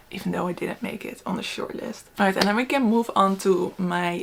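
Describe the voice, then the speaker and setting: Amid noticeable background noise, a woman talks at a very fast pace with fairly even intonation. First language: not English. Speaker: book reviewer. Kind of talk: casual book review chat. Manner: casual, hesitant with fillers.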